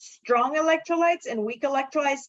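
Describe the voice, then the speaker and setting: Speaking with a non-native accent, a woman uses a high pitch. Her intonation is lively. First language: not English. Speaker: chemistry lecturer. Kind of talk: lecture. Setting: classroom.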